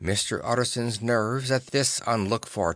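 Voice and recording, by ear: A natural voice reading aloud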